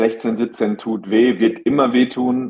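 Monotone, flat intonation from a man at medium pitch, delivered at a fairly slow pace. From Germany, Hagen (Westphalia). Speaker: professional basketball player. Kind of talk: interview.

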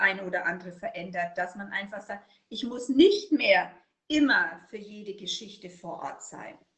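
The speaker has a slight Franconian accent and lively intonation at a moderate pace. Loudness swings widely. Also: woman. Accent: slight Franconian, rolled R. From Upper Franconia, Germany. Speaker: burnout prevention consultant. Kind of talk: interview.

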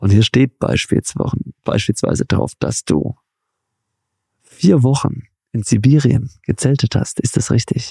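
A dark, mellow voice with vocal fry speaks at a fairly slow pace, with ordinary pitch variation. Long, frequent pauses break it up, and the sound is dry and close with no echo. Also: man, medium pitch for a man. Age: 30s. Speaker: podcast host. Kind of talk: interview. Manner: animated.

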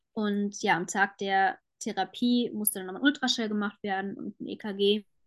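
A woman with an ordinary speaking voice, medium pitch and a moderate pace. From Germany, Frankfurt. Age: 20s. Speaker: cancer patient sharing her story. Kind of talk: interview, personal testimony.

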